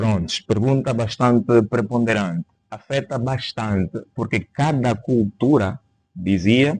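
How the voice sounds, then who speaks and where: A man speaks very slowly at medium pitch with a Kikongo accent. The sound is dry and close with no echo, and his pitch varies in an ordinary way. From Angola. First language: Kikongo (speaking Portuguese). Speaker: linguistics teacher. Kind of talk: interview on linguistics. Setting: podcast studio.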